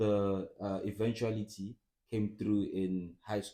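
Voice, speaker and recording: At a very slow pace, a man speaks in a fairly low, dark, mellow voice. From Eswatini (Swaziland). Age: 20s. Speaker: psychology student, pastor's child. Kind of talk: casual chat. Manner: calm.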